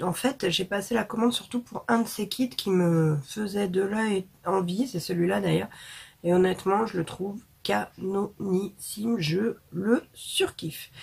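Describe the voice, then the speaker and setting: Very slowly, a woman speaks at medium pitch with ordinary pitch variation. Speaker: beauty vlogger. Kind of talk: product review vlog. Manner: casual with many hesitations.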